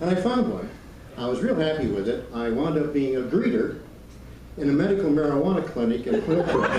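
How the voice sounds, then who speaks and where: A man talks at a fairly quick pace, his fairly high pitch swinging very widely. Noticeable background noise and audible room echo surround him. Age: 70s. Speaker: stand-up comedian. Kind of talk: stand-up. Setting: stage with audience. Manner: halting, with many fillers.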